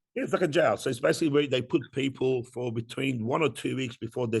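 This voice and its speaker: A man with an Australian accent talks at a very fast pace, his pitch medium and its variation ordinary. His voice is somewhat breathy against a quiet background. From Iran, raised in Australia from age ten. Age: 40s. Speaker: entrepreneur. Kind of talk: interview.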